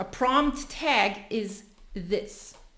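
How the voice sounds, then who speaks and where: A woman talks with a bright, sharp tone and ordinary pitch variation. Audible room echo surrounds her voice. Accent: non-native. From Europe. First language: not English, a European language. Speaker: content creator. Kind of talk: tutorial. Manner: casual, with fillers.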